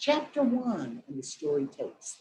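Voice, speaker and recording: A woman with an American accent speaks at a moderate pace in a fairly high, somewhat breathy voice whose pitch swings very widely. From southwest Missouri, Lawrence County and Springfield. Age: 60s. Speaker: novelist. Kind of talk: interview Q&A. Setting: webinar video call. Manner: animated.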